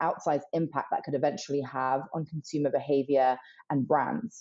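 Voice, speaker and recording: A woman with a British accent, at a moderate pace, with ordinary pitch variation. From UK. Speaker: emerging technology strategist. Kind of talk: podcast interview.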